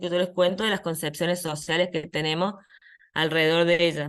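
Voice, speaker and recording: Here a woman talks at a fairly quick pace. Her pitch is fairly low. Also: quiet background. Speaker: psychologist, head of an identity rights program. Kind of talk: conference talk. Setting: online video conference. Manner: fast.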